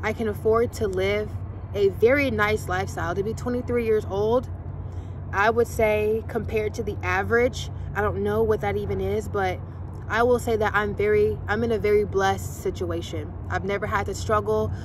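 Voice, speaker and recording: Audible room echo surrounds a woman as she speaks at a moderate pace. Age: 20s. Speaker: vlogger. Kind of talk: casual chat.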